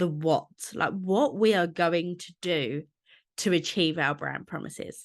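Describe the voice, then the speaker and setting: Speaking with a Cockney accent, a woman keeps a fairly slow pace. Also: quiet background. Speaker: podcast host. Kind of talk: podcast monologue.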